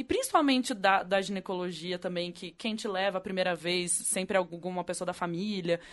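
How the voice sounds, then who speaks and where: A plain, everyday voice belongs to this woman, pitched at medium height with fairly even intonation. She keeps a moderate pace with hardly any pauses. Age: 30s. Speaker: podcast co-host. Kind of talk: casual chat.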